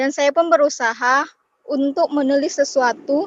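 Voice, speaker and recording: Female voice, high in pitch, its intonation fairly even. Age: young. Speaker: workshop participant. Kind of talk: reading own self-introduction.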